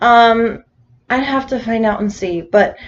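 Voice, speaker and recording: A woman's voice with a high pitch. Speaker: gaming YouTuber. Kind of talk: voice-over commentary for a game build video. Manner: casual, filler-heavy.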